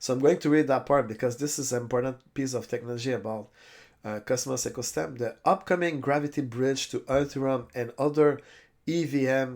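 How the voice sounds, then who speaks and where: The recording is very clean, with a silent background. A man talks at a medium pitch with ordinary pitch variation. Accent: French. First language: French. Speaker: crypto YouTuber. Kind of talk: tutorial. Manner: halting.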